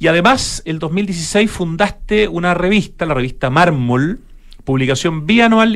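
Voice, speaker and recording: A man with a high pitch, lively intonation, and a moderate pace. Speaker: radio host. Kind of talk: radio interview. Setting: radio studio.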